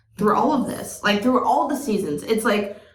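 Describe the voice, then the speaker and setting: Audible room echo surrounds a woman's voice. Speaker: podcast co-host. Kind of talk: casual chat. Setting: sharing one microphone.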